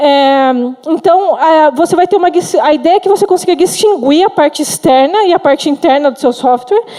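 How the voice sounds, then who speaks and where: Against noticeable background noise, a woman with an extremely high pitch speaks at very even loudness and with ordinary pitch variation. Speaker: software engineer, conference speaker. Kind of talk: conference talk. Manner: fast; halting, with fillers and restarts.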